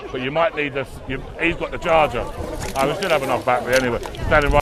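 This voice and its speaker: Over noticeable background noise, a man with a fairly high voice talks at a very fast pace, his intonation fairly even. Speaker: livestreamer at a protest. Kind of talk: live street commentary. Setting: outdoors at a protest. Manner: loud.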